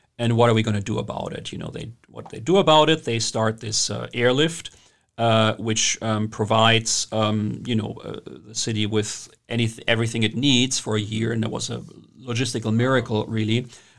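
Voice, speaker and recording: Someone with a German accent talks at a moderate pace with fairly even intonation. The loudness swings widely. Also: man, medium pitch for a man. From Germany. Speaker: historian. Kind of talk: interview. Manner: halting, many filler words.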